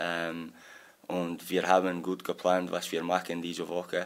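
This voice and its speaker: At a very slow pace, a man speaks with a very deep, low pitch. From Scotland. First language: English (speaking German). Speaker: football assistant coach. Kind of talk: press conference. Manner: halting.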